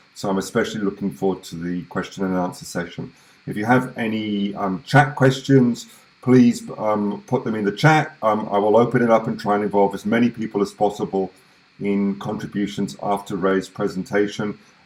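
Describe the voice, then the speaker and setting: A fairly low-pitched man at a moderate pace. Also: ordinary pitch variation. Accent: British. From UK. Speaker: webinar host. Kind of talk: online event introduction. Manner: hesitant, many fillers.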